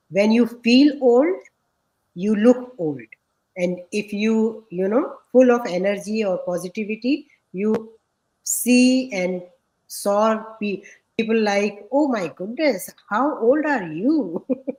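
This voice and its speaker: The delivery is very slow, with long, frequent pauses, a dark, mellow tone and lively intonation. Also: woman, fairly high pitch for a woman. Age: 50s. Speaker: interviewer. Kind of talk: interview. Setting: live video call. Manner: halting.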